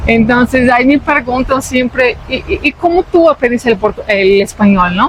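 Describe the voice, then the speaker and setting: Talking at a moderate pace with hardly any pauses, a woman uses a high voice, lively intonation and very even loudness, with noticeable background noise behind her. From Brazil. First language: Portuguese (speaking Spanish). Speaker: vlogger. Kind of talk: casual chat.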